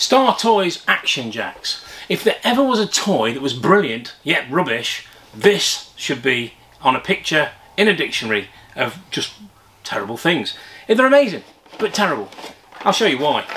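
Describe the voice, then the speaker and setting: A man speaks at a moderate pace. He leaves long pauses, and they come often. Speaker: toy collector reviewer. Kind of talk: casual toy review vlog. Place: shop.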